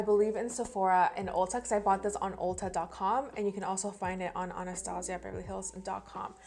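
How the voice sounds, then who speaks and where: Over music in the background, a woman with a non-native accent and medium pitch speaks at a very fast pace. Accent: non-native English, mispronounces words. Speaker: beauty vlogger. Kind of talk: product review and makeup tutorial. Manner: casual, chatty.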